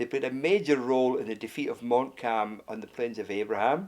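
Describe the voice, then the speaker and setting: With a Glasgow accent, a man speaks at a fairly quick pace. His pitch is medium, with ordinary variation. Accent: Scottish (Glasgow). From Scotland, Glasgow. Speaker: author. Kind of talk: interview talk about his book. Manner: hesitant, with fillers and repetitions.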